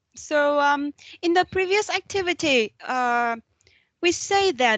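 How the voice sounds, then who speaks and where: The sound is dry and close with no echo as a woman with a Vietnamese accent speaks at a high pitch. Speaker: university lecturer. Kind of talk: lecture.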